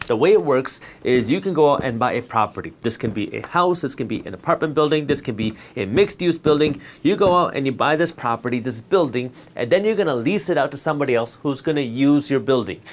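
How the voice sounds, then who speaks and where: A man talks at a very fast pace with lively intonation. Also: fairly high pitch for a man. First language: Punjabi. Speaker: finance educator. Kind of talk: tutorial.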